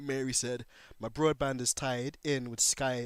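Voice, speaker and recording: Recorded very cleanly against a silent background, a man with a British accent speaks at medium pitch with fairly even intonation. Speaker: gaming livestreamer. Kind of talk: casual livestream chat reading comments. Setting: livestream.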